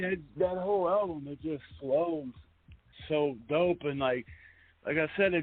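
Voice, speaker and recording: At a moderate pace, a man speaks with an American accent and ordinary pitch variation. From Pittsburgh, Pennsylvania. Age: 30s. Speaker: radio host. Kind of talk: casual interview. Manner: halting, filler-heavy.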